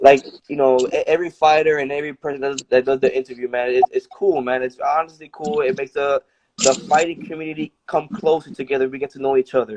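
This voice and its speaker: Speaking at a very fast pace with an American accent, a man uses a fairly high pitch and ordinary pitch variation, in a dry, close sound with no echo. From Brooklyn, New York. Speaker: boxer. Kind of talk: casual interview.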